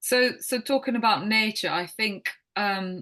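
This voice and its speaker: Against a quiet background, a woman speaks with a bright, sharp tone and ordinary pitch variation. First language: Croatian. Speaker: wellness coach. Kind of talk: podcast interview. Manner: halting.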